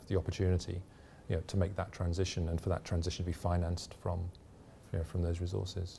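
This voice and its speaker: A man with a very deep, low voice and a dark, mellow tone talks at a very fast pace. He sounds somewhat breathy, with monotone, flat intonation. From UK. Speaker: energy regulator executive. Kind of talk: interview. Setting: conference venue. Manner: hesitant, many fillers.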